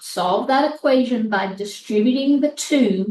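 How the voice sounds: A woman talks at a fairly slow pace in a fairly high pitch with ordinary pitch variation. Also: slightly mellow tone.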